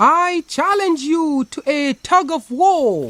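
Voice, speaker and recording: In a put-on character voice pitched extremely high, a man speaks at a very slow pace. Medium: read story. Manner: flattering, sly.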